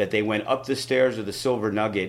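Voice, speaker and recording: An American-accented man with a fairly low pitch speaks amid audible room echo. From New York City. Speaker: wrestling promoter. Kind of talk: casual interview.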